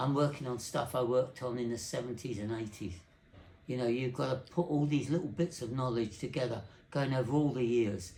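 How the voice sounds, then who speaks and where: A man's dark, mellow, somewhat breathy voice at a fairly quick pace, with audible room echo. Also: medium pitch for a man, ordinary pitch variation. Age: 80s+. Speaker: telecommunications engineer. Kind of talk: interview. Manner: halting.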